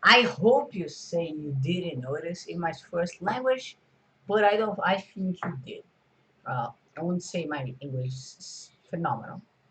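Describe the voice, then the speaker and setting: With lively intonation and big swings in loudness, a man speaks at a high pitch. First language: Portuguese. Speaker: video creator. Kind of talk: casual vlog talk. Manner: halting, many fillers.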